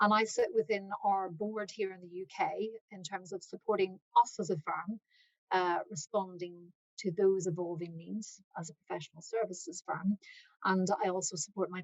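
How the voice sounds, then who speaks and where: The woman's intonation stays fairly even while her loudness swings a lot. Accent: Irish. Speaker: accounting firm partner. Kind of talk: webinar presentation. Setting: online webinar.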